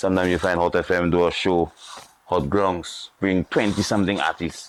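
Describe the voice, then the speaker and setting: A man with a Saint Lucian accent, very deep, low pitch, monotone, flat intonation, very even loudness and a moderate pace. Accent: Saint Lucian Creole English. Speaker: former soca artist. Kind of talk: interview.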